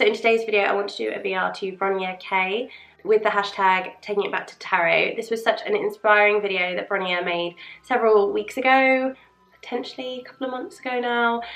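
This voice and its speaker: A woman with a British accent speaks with ordinary pitch variation and big swings in loudness over noticeable background noise. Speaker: tarot and witchcraft video creator. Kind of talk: casual chat. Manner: rambling, unprepared.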